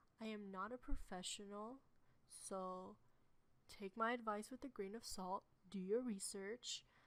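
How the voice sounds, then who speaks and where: Very slowly, a woman speaks in a medium pitch. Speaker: webtoon artist and tutorial creator. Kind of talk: tutorial. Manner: casual, with fillers.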